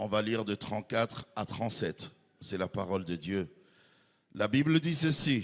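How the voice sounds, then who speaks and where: A man's voice swings very widely in pitch, captured in a very clean recording with a silent background. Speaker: pastor and journalist. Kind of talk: sermon.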